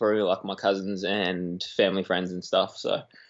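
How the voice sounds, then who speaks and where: A man's flat, monotone delivery at a fairly slow pace. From South Africa, Johannesburg. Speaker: graphic designer and barista. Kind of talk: casual interview chat. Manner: halting, many fillers.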